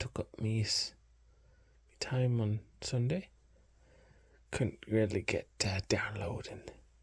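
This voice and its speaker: Soft-spoken and somewhat breathy, a man of medium pitch speaks at a very slow pace with ordinary pitch variation and long, frequent pauses. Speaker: ASMR creator. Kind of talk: ASMR soft-spoken ramble. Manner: halting.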